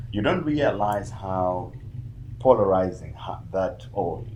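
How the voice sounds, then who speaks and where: A man's fairly low, unremarkable speaking voice, its pitch variation ordinary. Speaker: podcast host. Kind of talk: casual podcast interview.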